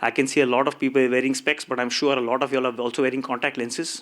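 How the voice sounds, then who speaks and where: Here a man with a Marathi accent speaks at a very fast pace. His pitch is fairly high. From India. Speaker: tech company co-founder. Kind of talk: conference talk. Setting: stage with audience. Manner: animated.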